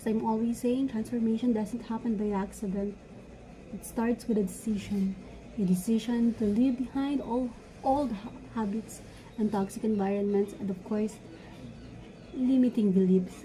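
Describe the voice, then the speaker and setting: A woman speaks at a moderate pace with a fairly high pitch. Her speech has long, frequent pauses, and there is noticeable background noise. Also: fairly even intonation. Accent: non-native. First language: not English. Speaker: vlogger, law student. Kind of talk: motivational talk; casual vlog chat. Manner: halting, self-correcting.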